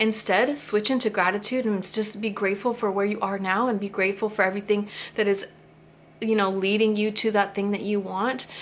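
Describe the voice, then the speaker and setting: Noticeable background noise sits behind a woman's voice. She talks at a fairly quick pace with a medium pitch. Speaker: YouTuber sharing spiritual thoughts. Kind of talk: casual talk to camera. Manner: fast; animated.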